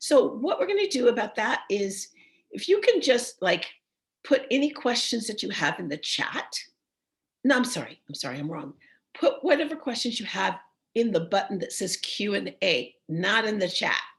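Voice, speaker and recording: Big swings in loudness, very wide pitch swings, vocal fry and a moderate pace. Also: woman, fairly high pitch for a woman. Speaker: voice teacher. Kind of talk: online seminar.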